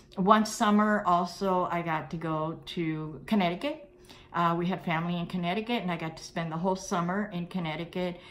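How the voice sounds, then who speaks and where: A woman with a fairly low voice talks at a fairly quick pace, her loudness swinging widely amid audible room echo. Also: fairly even intonation. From Cuba, then Brooklyn. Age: 60s. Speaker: vlogger. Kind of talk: personal storytelling. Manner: casual, hesitant with fillers.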